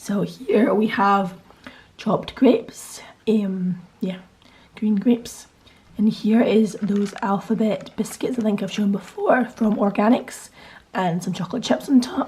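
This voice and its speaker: Using a put-on character voice, a woman speaks hoarse and raspy at medium pitch, at a fairly slow pace with fairly even intonation and long, frequent pauses. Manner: casual.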